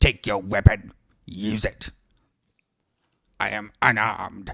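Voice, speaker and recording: Putting on a character voice, a man speaks at a fairly low pitch and a fairly slow pace. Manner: tempting, menacing.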